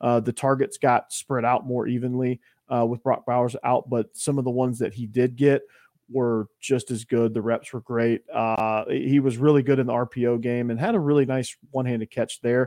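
At a moderate pace, a man with a Southern US accent speaks in a dark, mellow tone at a medium pitch with fairly even intonation, the sound dry and close with no echo. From Georgia. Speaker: college football podcast host, guest. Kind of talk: casual chat. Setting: remote podcast call.

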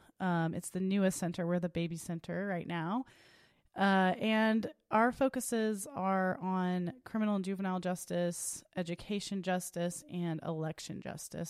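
A woman with an unremarkable speaking voice talks at a moderate pace and a fairly low pitch. The recording is very clean, with a silent background. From Oklahoma, Tulsa. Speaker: attorney. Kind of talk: interview.

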